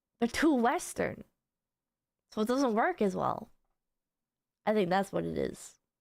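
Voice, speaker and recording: A woman's fairly high voice with vocal fry and lively intonation, fairly slow, with long, frequent pauses, on a very clean recording with a silent background. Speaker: VTuber streamer. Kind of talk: casual chat.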